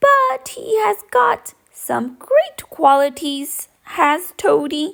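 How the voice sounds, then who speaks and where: Speaking at a very slow pace, a woman uses a put-on character voice that is raised and projected and high in pitch. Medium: read story. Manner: cheerful, easygoing.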